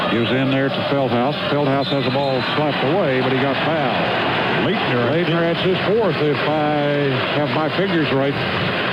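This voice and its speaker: Over noticeable background noise, a man with fairly high pitch speaks at a moderate pace with hardly any pauses, very even loudness and ordinary pitch variation. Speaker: radio play-by-play announcer. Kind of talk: live radio sports play-by-play.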